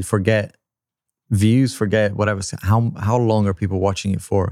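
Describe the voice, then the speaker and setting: A man's fairly low, monotone voice with flat intonation, at a fairly quick pace in a Brazilian accent, on a very clean recording with a silent background. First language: Portuguese. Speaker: tech YouTuber and podcast co-host. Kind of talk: casual chat. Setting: studio.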